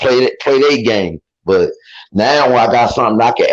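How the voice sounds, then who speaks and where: Moderate in pace, a man speaks. His pitch varies in an ordinary way. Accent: Baltimore. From East Baltimore, Maryland, US. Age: 30s. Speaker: amateur boxer. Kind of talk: interview. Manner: casual, animated.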